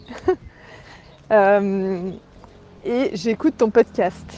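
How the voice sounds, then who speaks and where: A woman speaks with a Swiss accent in a dry, close sound with no echo. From Switzerland. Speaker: listener and friend. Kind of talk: voice message. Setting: outdoors going shopping. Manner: animated.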